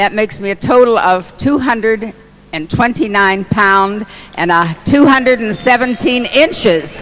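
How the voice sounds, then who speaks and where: Against noticeable background noise, a woman with a fairly high pitch talks at a fairly slow pace with lively intonation. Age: 80s+. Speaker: product testimonial speaker. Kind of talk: testimony.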